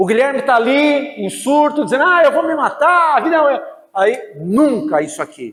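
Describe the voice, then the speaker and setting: Room echo can be heard. The man's intonation is lively. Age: 60s. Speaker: priest and lecturer. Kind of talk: lecture. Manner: animated.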